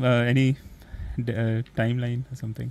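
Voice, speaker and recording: This is a man speaking. He has an Indian accent. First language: Hindi. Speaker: podcast host. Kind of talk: casual interview.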